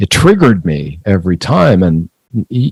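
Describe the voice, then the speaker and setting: In a dry, close recording with no echo, a man with an American accent and a very deep, low pitch talks at a moderate pace with lively intonation. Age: 60s. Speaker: screenwriter and author. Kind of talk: interview conversation. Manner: halting, repetitive.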